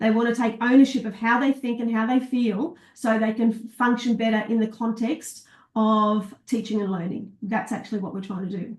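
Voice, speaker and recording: Somewhat breathy and fairly high-pitched, a woman talks with hardly any pauses. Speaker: teacher wellbeing trainer. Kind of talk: live online masterclass. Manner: fast.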